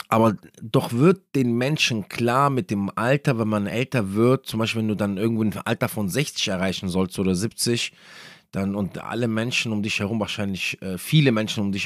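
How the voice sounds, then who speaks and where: A man's fairly low voice at a moderate pace with ordinary pitch variation, dry and close with no echo, in a very clean recording with a silent background. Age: 30s. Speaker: Islamic podcast speaker. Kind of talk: religious talk. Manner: hesitant with many fillers.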